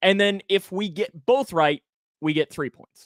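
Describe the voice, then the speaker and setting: A man with a slight Kentucky accent talks at a moderate pace. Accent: slight rural Kentucky country. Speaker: sports podcast host. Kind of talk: casual chat.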